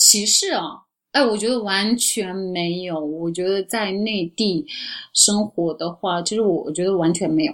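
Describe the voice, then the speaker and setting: A woman with an ordinary speaking voice, medium in pitch, with ordinary pitch variation and a fairly slow pace. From Urumqi, Xinjiang, China. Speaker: travel agency owner. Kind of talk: casual chat.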